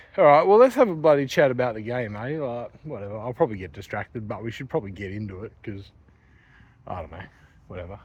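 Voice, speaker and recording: Here a man speaks with an Australian accent at medium pitch. His intonation is lively, and the background is quiet. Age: 30s. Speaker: vlogger. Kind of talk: casual vlog chat. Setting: outdoors walking at night. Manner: rambling casual, many fillers.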